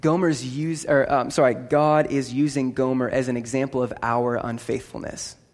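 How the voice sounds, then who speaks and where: An animated man at medium pitch and moderate pace, with audible room echo and music in the background. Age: 20s. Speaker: pastor. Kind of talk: sermon. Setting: church.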